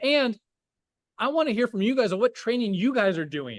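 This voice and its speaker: With very wide pitch swings and an energetic tone, a man speaks in a dry, close sound with no echo against a quiet background. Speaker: firefighter captain and volunteer trainer. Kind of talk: online training lecture. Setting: video call. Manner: fast.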